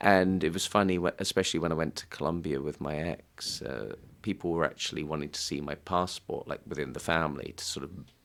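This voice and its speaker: A man's very deep, low voice in an English accent, with vocal fry, ordinary pitch variation, a very fast pace and hardly any pauses. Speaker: singer-songwriter. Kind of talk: casual chat. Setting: studio.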